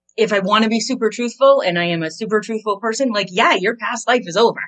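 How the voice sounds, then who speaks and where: Speaking with an American accent, a woman with fairly high pitch talks at a fairly quick pace with ordinary pitch variation. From Maine, US. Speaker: business coach. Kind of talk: podcast interview.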